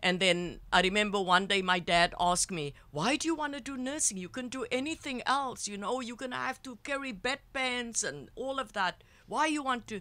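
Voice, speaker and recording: Bright and sharp in tone, a woman with a South African accent talks at a high pitch with lively intonation on a very clean recording with a silent background. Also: moderate pace. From South Africa, Cape Town. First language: Afrikaans. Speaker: psychotherapist and healer. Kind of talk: interview storytelling. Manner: halting.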